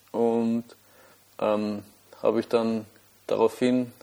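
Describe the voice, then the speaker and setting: A man's dark, mellow voice at medium pitch, with a Viennese accent and flat, monotone intonation. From Austria, Vienna. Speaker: amateur runner podcaster. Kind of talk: solo monologue podcast. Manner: halting, many fillers and repetitions.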